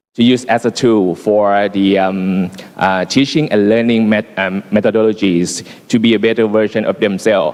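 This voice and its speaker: With very even loudness and fairly even intonation, a man speaks at a moderate pace in a fairly low pitch. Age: 40s. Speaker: teacher presenting at education symposium. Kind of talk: conference presentation. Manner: halting, many fillers.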